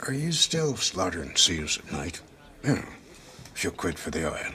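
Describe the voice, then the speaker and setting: Over clear background noise, a man uses a put-on character voice at medium pitch and a moderate pace. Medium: short film. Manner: blunt, gruff.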